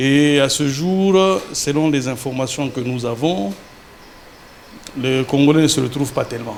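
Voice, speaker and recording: With noticeable background noise, a man with a fairly high pitch talks at a fairly slow pace, using ordinary pitch variation and long, frequent pauses. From DR Congo. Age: 40s. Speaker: entrepreneur. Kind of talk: TV interview.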